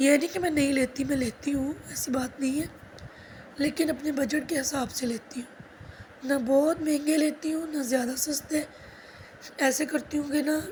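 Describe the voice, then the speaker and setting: With monotone, flat intonation, a woman speaks at a high pitch and a fairly slow pace. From Pakistan. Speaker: housewife vlogger. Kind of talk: casual vlog talk.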